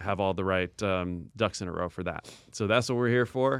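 A man with an American accent has an unremarkable speaking voice, fairly low in pitch with ordinary variation. The recording is very clean, with a silent background. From Portland, Oregon. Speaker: podcast co-host, music entrepreneur. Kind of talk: casual chat.

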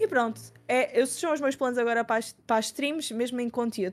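Very fast pace with fairly even intonation. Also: woman. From Portugal, Lisbon. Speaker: university student and streamer. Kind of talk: casual chat.

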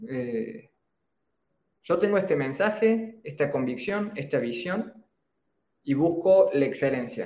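With a Cordoban Argentine accent, a man speaks at a very slow pace in a high pitch with very wide pitch swings, a dark, mellow tone, and long, frequent pauses. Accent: Argentine Spanish, Córdoba. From Argentina, Córdoba. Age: 20s. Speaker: entrepreneur, personal branding expert. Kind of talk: interview on a live stream.

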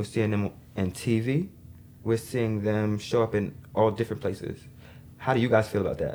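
He has an ordinary speaking voice with an American accent. This man's pitch is medium and his intonation fairly even. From New York City (Queens/Brooklyn). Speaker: podcast host. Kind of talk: casual chat.

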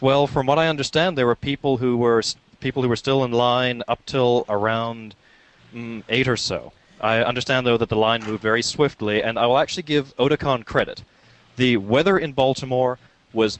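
A man talks at a fairly quick pace in a normal speaking voice. His pitch is medium and his intonation fairly even. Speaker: podcast co-host. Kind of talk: casual chat.

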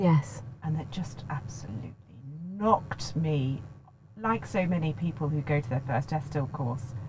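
Somewhat breathy speech with lively intonation moves along at a moderate pace. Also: woman, very deep, low pitch for a woman. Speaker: vocal coach and voice training founder. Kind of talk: casual interview chat. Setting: in person at guest's premises.

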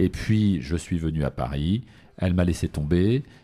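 In a very clean recording with a silent background, a man speaks fairly slowly with lively intonation and a very deep, low pitch. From southern France. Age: 50s. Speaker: media and live entertainment producer. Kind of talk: interview.

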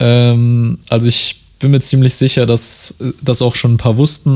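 Noticeable background noise fills the recording. A man's voice can be heard. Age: 20s. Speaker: podcast host. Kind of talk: solo monologue podcast. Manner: casual, many filler words.

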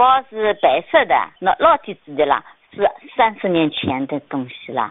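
Her pitch ranges very widely. This is a woman's voice. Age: 70s. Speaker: caller. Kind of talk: personal testimony and appeal.

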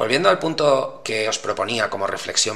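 Noticeable background noise is present. A man talks over it. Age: 40s. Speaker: podcast host. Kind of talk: solo monologue podcast. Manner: hesitant, many fillers.

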